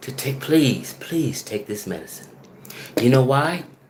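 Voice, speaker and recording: Amid noticeable background noise and audible room echo, a man speaks fairly slowly in an animated tone with lively intonation. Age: 50s. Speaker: video blogger. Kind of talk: casual monologue.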